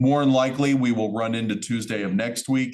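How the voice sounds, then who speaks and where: This is a man at a medium pitch. His pitch variation is ordinary. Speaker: college instructor. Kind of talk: lecture. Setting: recorded class session. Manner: fast.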